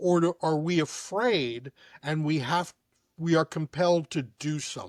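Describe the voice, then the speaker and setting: A man with an American accent has an ordinary speaking voice, fairly high in pitch. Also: ordinary pitch variation, fairly slow pace. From New York City. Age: 60s. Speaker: chiropractor. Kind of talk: casual chat.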